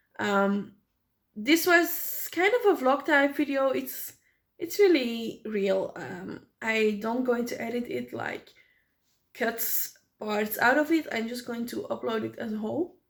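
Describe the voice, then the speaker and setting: Speaking at a fairly slow pace with a non-native accent, a woman lets her loudness swing widely. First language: not English. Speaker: small business owner and vlogger. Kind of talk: unscripted vlog monologue. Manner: halting, with many fillers.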